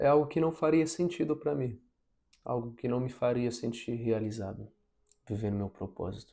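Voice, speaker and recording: With a non-native accent, a man speaks at a moderate pace in a dark, mellow tone with ordinary pitch variation. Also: medium pitch for a man. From abroad, moved to Brazil as a teen. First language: not Portuguese (speaking Portuguese). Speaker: vlogger, engineering graduate. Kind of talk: personal vlog advice. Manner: reflective, relaxed.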